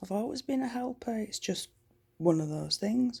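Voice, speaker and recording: Lively intonation marks a woman's fairly high voice with a dark, mellow tone. She speaks at a fairly slow pace. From Yorkshire, northern England. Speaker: vlogger. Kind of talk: casual chat. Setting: at home at night. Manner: loud.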